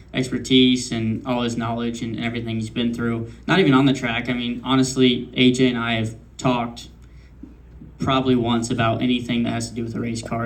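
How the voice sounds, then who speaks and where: The speech comes at a fairly quick pace in a monotone, flat intonation. Audible room echo is present. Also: man. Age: 20s. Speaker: race car driver. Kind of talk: press conference. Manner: hesitant, many fillers.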